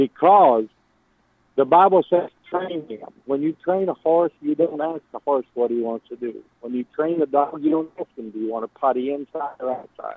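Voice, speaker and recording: A man talks at a moderate speed with a fairly high pitch and ordinary pitch variation. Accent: Texan. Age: 70s. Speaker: caller. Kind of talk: phone-in call.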